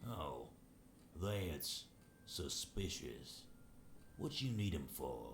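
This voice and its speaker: A man's put-on character voice, very deep and low, at a very slow pace with long, frequent pauses and clear background noise. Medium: game stream. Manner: suspicious, defensive.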